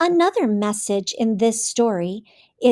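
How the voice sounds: Lively intonation in a natural reading voice, quiet background behind it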